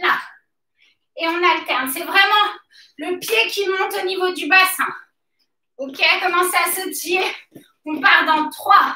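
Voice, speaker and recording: A woman's raised, projected voice, bright and sharp, very slow with long, frequent pauses and audible room echo. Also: ordinary pitch variation. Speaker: fitness coach. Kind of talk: workout instruction. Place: gym. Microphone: camera far.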